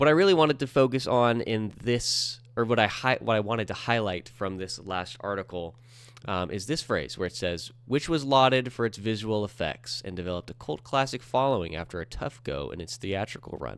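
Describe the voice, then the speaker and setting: A man's fairly low-pitched voice with lively intonation, a fairly quick pace and hardly any pauses. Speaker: entertainment news podcaster. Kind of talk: news commentary. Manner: halting, many fillers.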